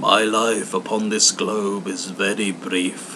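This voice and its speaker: A man puts on a character voice at a fairly low pitch. Clear background noise is present. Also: fairly slow pace. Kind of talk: Victorian storytelling. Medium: read story.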